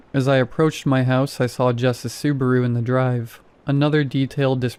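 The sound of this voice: Text is read out in an unforced reading voice.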